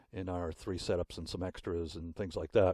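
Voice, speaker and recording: A man speaks in a very deep, low voice with a dark, mellow tone. The recording is very clean, with a silent background and a dry, close sound with no echo. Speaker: sound engineer. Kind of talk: tutorial. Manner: casual, with fillers.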